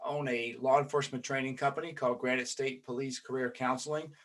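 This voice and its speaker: A man with a Southern US accent speaks in a bright, sharp tone. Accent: Southern twang. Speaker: podcast host, police trainer. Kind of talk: casual interview chat. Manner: filler-heavy, hesitant starts.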